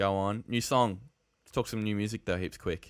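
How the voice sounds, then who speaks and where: Speaking at a very fast pace with an Australian accent, a man holds a monotone, flat intonation in a fairly low pitch on a very clean recording with a silent background. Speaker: podcast host. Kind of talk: casual chat.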